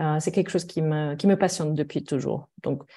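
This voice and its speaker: Against a quiet background, a woman with a slight German accent speaks in a dark, mellow tone that is somewhat breathy. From Germany. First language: German (speaking French). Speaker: mediator. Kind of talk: podcast interview.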